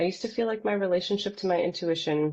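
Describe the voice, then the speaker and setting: This woman has an unremarkable speaking voice with an American accent and a fairly low pitch. She talks at a fairly quick pace with ordinary pitch variation. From Los Angeles, US. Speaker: poet, podcast guest. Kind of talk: casual interview chat.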